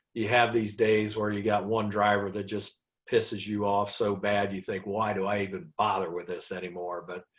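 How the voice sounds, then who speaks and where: A plain, everyday voice with an American accent, speaking at a moderate pace. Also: man. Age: 60s. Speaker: trucking company owner. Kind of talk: casual chat.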